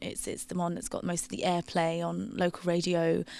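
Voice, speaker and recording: A woman speaks with a fairly low pitch and some vocal fry. The recording is very clean, with a silent background. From Greece. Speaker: singer-songwriter. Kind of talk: interview.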